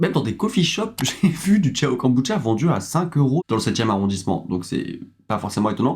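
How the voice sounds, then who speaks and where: Somewhat breathy, a man of medium pitch talks at a fairly quick pace. His voice makes very wide pitch swings. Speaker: YouTuber. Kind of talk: casual talk to camera. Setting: studio.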